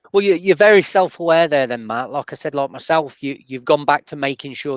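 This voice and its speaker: Speaking with a Sheffield accent, a man uses ordinary pitch variation in a dry, close recording with no echo and a quiet background. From northern England, Sheffield. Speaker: podcast host and DJ. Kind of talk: interview.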